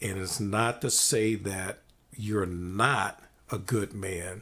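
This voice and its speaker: The speech comes at a very slow pace with fairly even intonation. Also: man. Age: 60s. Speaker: podcast host. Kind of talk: casual interview.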